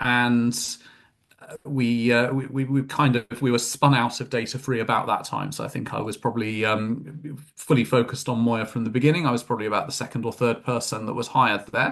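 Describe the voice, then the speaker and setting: A man with a British accent, medium in pitch, at a fairly quick pace with fairly even intonation. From UK. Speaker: tech company executive. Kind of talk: interview. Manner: hesitant, many fillers.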